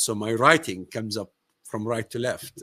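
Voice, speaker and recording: Speaking at a moderate pace with an Arabic accent, a man has a medium pitch and a bright, sharp tone in a dry, close sound with no echo. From Palestine. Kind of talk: live-streamed casual discussion. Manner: halting.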